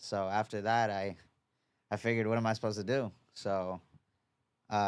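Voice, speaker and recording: With a New York accent, a man talks very fast at a fairly low pitch and with fairly even intonation, in a very clean recording with a silent background. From New York, Long Island (Oceanside). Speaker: boxing coach. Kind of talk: casual chat. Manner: casual, halting with repetitions.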